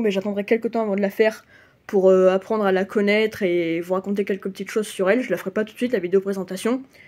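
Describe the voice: A woman's very fast, nasal voice with a dark, mellow tone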